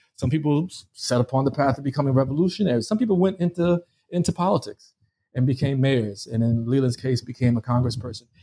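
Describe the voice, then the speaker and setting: A very fast, somewhat breathy delivery with a dark, mellow tone, lively intonation, very even loudness and an American accent. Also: man, medium pitch for a man. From US, New York (Harlem). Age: 40s. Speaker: history professor and author. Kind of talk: interview. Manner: halting, many repetitions and fillers.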